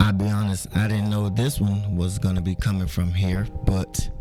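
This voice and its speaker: Music plays in the background as a man speaks at a moderate pace in a fairly low pitch. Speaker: podcast host. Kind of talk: podcast narration.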